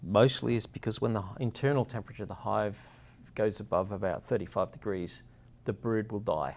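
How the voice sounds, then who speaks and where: A man with an Australian accent speaks fairly quickly at a fairly low pitch, with vocal fry. His loudness swings a lot. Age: 50s. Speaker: beehive company founder. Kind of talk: interview. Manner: halting.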